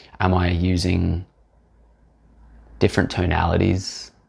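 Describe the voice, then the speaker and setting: A man with a very deep, low voice speaks in a somewhat breathy way. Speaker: aspiring podcaster. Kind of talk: solo talk to camera. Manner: reflective, unscripted.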